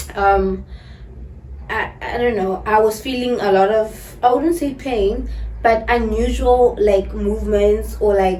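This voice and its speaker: A woman speaks at a fairly slow pace. The room echo is audible, and background noise is noticeable. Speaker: vlogger. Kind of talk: casual story time vlog. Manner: animated.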